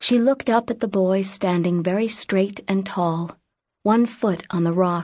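Over a quiet background, the reading is delivered in an unforced reading voice, its pitch varying in an ordinary way.

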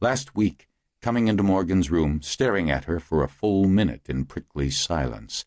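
A man with a very deep, low pitch talks at a moderate pace with very wide pitch swings and vocal fry. The sound is dry and close with no echo, over a quiet background. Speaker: audiobook narrator. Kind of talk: audiobook dramatic narration. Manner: animated; dramatic.

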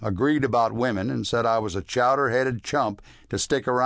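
The voice reads naturally. Its pitch varies in an ordinary way.

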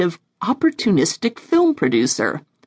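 A woman speaks at a moderate pace in an animated, theatrical tone with very wide pitch swings. Her voice has vocal fry, and the sound is dry and close with no echo. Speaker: author and narrator. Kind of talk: audiobook narration of a novel, read aloud with an introduction. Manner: animated, theatrical, performing characters with laughs and sly, gravelly comic relish.

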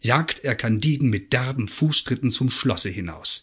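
A man talks at a fairly slow pace, somewhat breathy against a quiet background. His tone is animated yet solemn. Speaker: audiobook narrator. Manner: animated, wry and mock-solemn, with expressive pacing and ironic emphasis.

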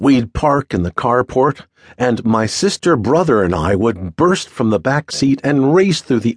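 Here is a plain, everyday voice with lively intonation at a fairly slow pace. The sound is dry and close with no echo. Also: man. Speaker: audiobook narrator. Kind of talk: audiobook narration of a memoir, read aloud in first person. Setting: studio recording. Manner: measured, steady, storytelling pace; nostalgic, wry, warmly descriptive.

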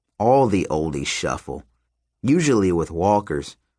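Nothing much can be heard behind the speaker. The words are read aloud plainly.

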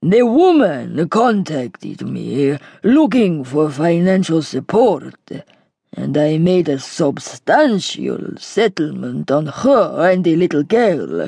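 This is a put-on character voice with lively intonation. It moves at a fairly slow pace. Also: woman. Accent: Greek. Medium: read story. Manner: heavy, grave.

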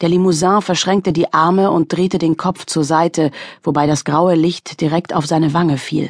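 A woman's tearful voice, fairly low in pitch and monotone, flat in intonation, at a moderate pace in a dry, close sound with no echo. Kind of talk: audiobook dramatic narration. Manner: tense, emotionally charged, hushed with near-tearful intensity.

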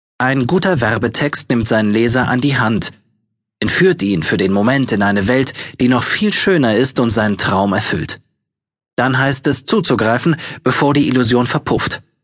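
A man with an unremarkable speaking voice, at a moderate pace and very even loudness. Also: medium pitch for a man, lively intonation. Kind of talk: audiobook narration with sales-pitch urgency.

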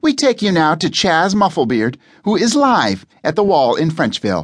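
A high-pitched man at a fairly slow pace, with very wide pitch swings over a quiet background. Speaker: audiobook narrator. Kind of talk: scripted audiobook narration with character voices. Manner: switches into mock news-anchor and reporter voices.

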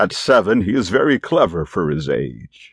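This man's tone is animated. His voice carries vocal fry. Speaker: audiobook narrator. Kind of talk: audiobook narration of a children's story, with character voices. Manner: animated, shifting into child and grandad character voices.

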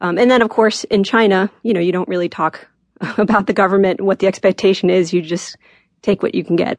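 A woman talks at a fairly quick pace in a plain, everyday voice, medium in pitch and fairly even in intonation. The sound is dry and close with no echo, over a quiet background. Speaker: radio producer interviewee. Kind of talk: conversational interview.

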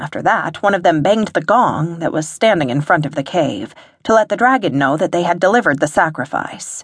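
A woman's ordinary speaking voice, fairly low in pitch, at a fairly quick pace with lively intonation. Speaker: audiobook narrator. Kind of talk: dramatic first-person audiobook narration of a fantasy story, with quoted dialogue.

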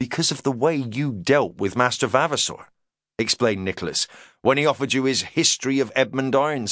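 Against a quiet background, this is plain reading aloud with ordinary pitch variation.

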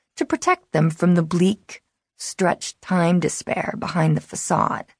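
The sound is dry and close, with no echo. The voice is somewhat breathy and moves at a fairly slow pace. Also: woman. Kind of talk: audiobook narration, first-person reading of a teen novel. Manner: brooding, wary and intimate, like a guarded teen confiding.

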